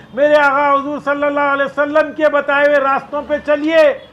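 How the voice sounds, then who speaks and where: This man's voice is extremely high in pitch. He speaks in a raised, projected voice. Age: 60s. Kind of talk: public statement. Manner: impassioned.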